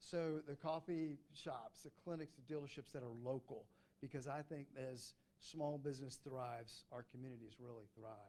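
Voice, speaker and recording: With an American accent, the voice has a dark, mellow tone and fairly even intonation. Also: man, fairly high pitch for a man. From US South. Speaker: business consultant. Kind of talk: business pitch presentation. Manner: fast.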